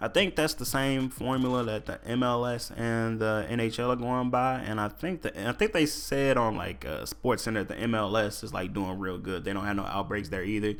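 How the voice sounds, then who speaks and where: A man at medium pitch talks with ordinary pitch variation and hardly any pauses. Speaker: solo podcast host. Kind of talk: casual solo podcast talk. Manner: fast.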